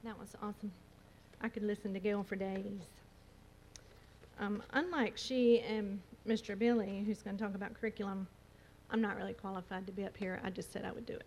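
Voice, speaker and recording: A woman with a Southern US accent speaks at a fairly quick pace, with long, frequent pauses. Her voice is somewhat breathy, medium in pitch, with fairly even intonation. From US South. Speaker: homeschooling parent speaker. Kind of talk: public talk. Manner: casual.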